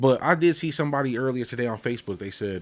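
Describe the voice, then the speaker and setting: Pitch varies in an ordinary way in this unremarkable speaking voice. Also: man. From Paterson, New Jersey (born in Puerto Rico). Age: 30s. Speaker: podcast host. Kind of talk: casual chat.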